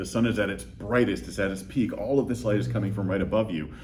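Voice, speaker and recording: With audible room echo, a man with a fairly low pitch and vocal fry speaks at a fairly quick pace with lively intonation. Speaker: lighting design expert. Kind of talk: interview. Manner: halting, many fillers.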